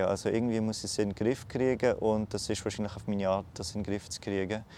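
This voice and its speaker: The man here speaks with a fairly low pitch. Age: 20s. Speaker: cancer patient. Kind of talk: interview. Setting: outdoors. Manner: halting.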